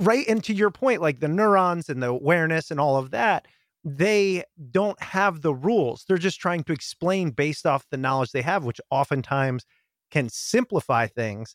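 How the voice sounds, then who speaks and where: A man with a normal speaking voice, fairly high pitch and lively intonation at a moderate pace, on a very clean recording with a silent background. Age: 30s. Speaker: podcast host and communication workshop speaker. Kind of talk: interview.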